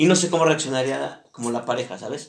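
Amid noticeable background noise, a man talks very fast at a fairly high pitch with ordinary pitch variation. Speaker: podcast host. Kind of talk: casual chat.

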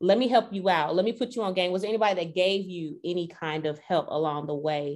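A woman speaks with a fairly low pitch and ordinary pitch variation against a quiet background. It is a normal speaking voice. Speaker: podcast host. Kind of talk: casual podcast interview.

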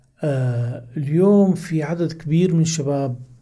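Over noticeable background noise, a man's pitch varies in an ordinary way as he talks. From Hama, Syria, raised in Kuwait. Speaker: think tank director. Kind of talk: casual interview, personal storytelling. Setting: podcast studio.

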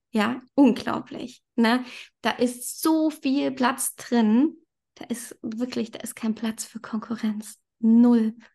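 A woman talks at a very slow pace with a fairly high pitch and fairly even intonation. The background is quiet. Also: big swings in loudness. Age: 30s. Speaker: yoga teacher. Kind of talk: casual chat.

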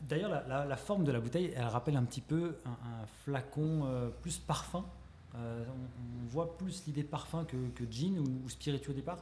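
Against noticeable background noise, a man speaks slowly-ish at a fairly high pitch with ordinary pitch variation. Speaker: podcast host. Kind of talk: interview. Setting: guest's shop.

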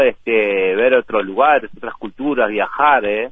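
A man speaking at a fairly slow pace. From Uruguay, Montevideo. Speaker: Uruguayan emigrant, teacher and café owner. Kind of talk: casual interview.

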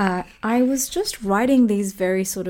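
A woman at a fairly slow pace with ordinary pitch variation, in a very clean recording with a silent background. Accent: Australian. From Australia. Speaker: author and podcast host. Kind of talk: solo podcast talk.

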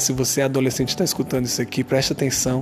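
A man's voice against noticeable background noise. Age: 30s. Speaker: podcaster. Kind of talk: casual solo monologue. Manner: casual, with filler hesitations.

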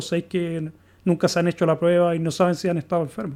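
A man talks at a very fast pace with a high pitch. The recording is very clean, with a silent background. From Chile. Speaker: podcaster, recurring guest. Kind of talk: casual conversation.

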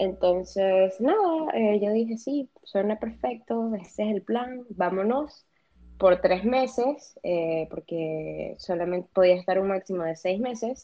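A woman with a medium pitch talks at a very slow pace, her intonation lively. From Venezuela. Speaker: psychologist. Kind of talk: casual interview.

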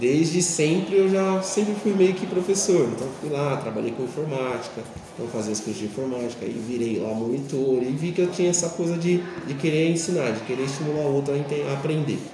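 A man with a fairly high pitch talks at a fairly quick pace with lively intonation. Room echo and noticeable background noise are audible. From Brazil, São Paulo periphery. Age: 40s. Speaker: physical education teacher. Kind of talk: interview.

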